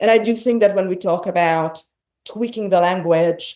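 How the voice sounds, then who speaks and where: A woman's dark, mellow tone in a Hungarian accent, at a moderate pace with ordinary pitch variation. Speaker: podcast host. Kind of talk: interview conversation.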